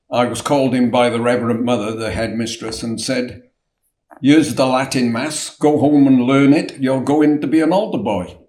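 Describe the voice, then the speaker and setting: Speaking with a South Wales accent, a man uses a medium pitch and ordinary pitch variation. Audible room echo surrounds his voice. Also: moderate pace. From Wales, Newport. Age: 70s. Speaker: chip shop owner. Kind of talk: interview.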